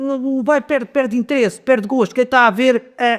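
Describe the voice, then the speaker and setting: A man speaks at a moderate pace in an extremely high pitch. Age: 70s. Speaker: folk dance group member, local tradition keeper. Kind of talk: podcast interview. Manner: halting, many fillers and repetitions.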